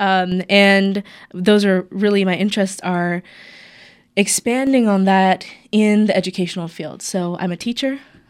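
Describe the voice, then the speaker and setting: At a fairly slow pace and medium pitch, a woman with an American accent and a plain, everyday voice speaks with fairly even intonation in a very clean recording with a silent background. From US South, North Carolina. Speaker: PhD student and mosque youth volunteer. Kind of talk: radio interview.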